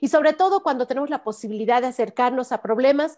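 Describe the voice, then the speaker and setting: A woman's high voice at a very fast pace, with ordinary pitch variation and a quiet background. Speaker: program host. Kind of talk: program introduction. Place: home room. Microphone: video call.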